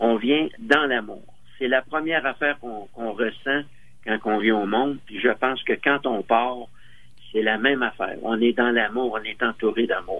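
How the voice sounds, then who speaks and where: This man speaks in a Quebec accent at a moderate pace, his medium pitch held in fairly even intonation. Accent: Québécois French. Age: 80s+. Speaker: senior interviewee. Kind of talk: radio interview. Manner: halting.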